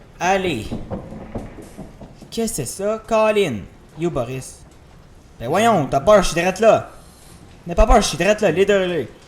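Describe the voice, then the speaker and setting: Amid noticeable background noise, a man with a high pitch talks fairly slowly with lively intonation and long, frequent pauses. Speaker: gaming youtuber. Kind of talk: let's play commentary. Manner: animated.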